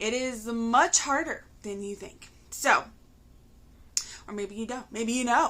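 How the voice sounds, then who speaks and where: A loud woman's voice, fairly high in pitch, bright and sharp in tone, with ordinary pitch variation and a moderate pace. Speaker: crafting vlogger. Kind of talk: casual chat. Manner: hesitant, many fillers.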